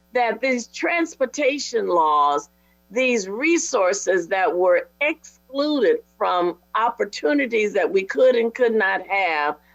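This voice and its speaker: A woman with an American accent, fairly high pitch and very wide pitch swings, at a very slow pace, with music in the background. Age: 70s. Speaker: panelist. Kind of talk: panel discussion.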